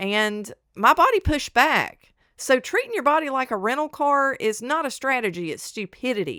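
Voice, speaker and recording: A woman projects her high, bright, sharp voice with very wide pitch swings in a very clean recording with a silent background and a dry, close sound with no echo. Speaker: chemist and medical technologist. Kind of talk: casual talk to camera. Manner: fast.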